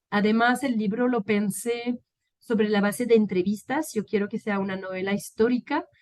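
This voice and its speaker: Against a quiet background, a woman with a medium pitch talks at a fairly slow pace with ordinary pitch variation. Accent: French. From France. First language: French (speaking Spanish). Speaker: political scientist and peacebuilding expert. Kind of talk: interview. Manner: halting, many fillers.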